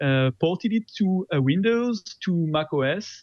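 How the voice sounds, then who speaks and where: A man is speaking. He has a French accent. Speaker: open source software developer. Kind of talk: interview. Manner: hesitant, many fillers.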